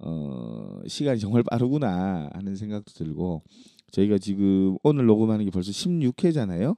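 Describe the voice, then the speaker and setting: A man speaks in an ordinary speaking voice, fairly low in pitch and with lively intonation. His pace is fairly slow against a quiet background. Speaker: podcast co-host. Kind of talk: casual chat. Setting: studio.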